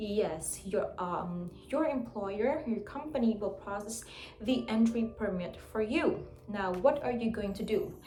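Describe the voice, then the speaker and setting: A woman talks at a fairly slow pace, her fairly high pitch varying in an ordinary way. Audible room echo and noticeable background noise surround her. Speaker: English teacher and vlogger. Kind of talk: tutorial vlog.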